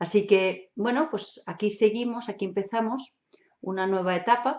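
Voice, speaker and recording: Speaking with a strong German accent, a woman uses a medium pitch, ordinary pitch variation, and a moderate pace. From Germany. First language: German (speaking Spanish). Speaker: hypnotherapist and NLP instructor. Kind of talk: online show monologue. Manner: casual, chatty.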